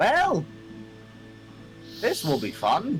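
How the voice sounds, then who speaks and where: A man's high-pitched, put-on character voice over clear background music. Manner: weary, resigned.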